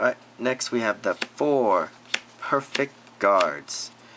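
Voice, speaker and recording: Through noticeable background noise, a man's very slow speech comes through. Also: long, frequent pauses. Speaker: card game youtuber. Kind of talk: deck profile tutorial. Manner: halting, many fillers; casual.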